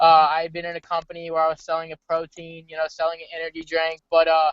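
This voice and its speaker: Talking at a very fast pace, a man with an American accent speaks in a high pitch. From Texas, Houston. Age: 20s. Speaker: trading network marketer. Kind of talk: casual pitch on a webinar. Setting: video call from a car. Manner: animated.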